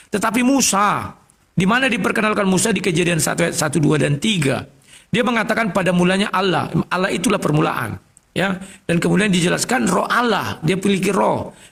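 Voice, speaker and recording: The man talks fairly quickly in a high register, his pitch rising and falling in an ordinary way. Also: very even loudness. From North Sumatra, Indonesia. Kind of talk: religious debate. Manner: loud.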